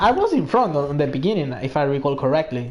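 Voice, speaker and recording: A man talks with a Spanish accent. His pitch is fairly high. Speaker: gaming streamer. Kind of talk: casual chat.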